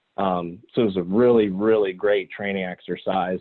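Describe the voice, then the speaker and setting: A man's voice, fairly low in pitch. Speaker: electric truck company representative. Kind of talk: business presentation. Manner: fast.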